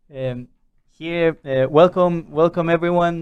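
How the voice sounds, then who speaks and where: A man with a Spanish accent and a high pitch speaks at a fairly slow pace with fairly even intonation. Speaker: podcast host. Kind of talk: interview. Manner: halting.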